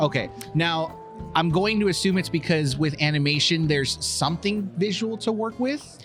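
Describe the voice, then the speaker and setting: A man at a fairly high pitch and moderate pace, very even in loudness, with music in the background. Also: ordinary pitch variation. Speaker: podcast host. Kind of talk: interviewer.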